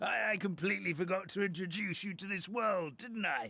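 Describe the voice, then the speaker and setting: A man's put-on character voice, high-pitched and raspy, with a British accent at a fairly quick pace over light background noise. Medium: video game. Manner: hesitant, rambling, polite.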